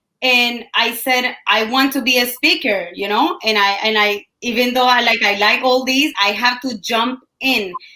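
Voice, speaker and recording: Speaking with a Colombian accent, a woman uses a high, bright, sharp voice with ordinary pitch variation. She talks at a fairly slow pace with hardly any pauses. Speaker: entrepreneur and team leader. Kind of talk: interview. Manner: halting.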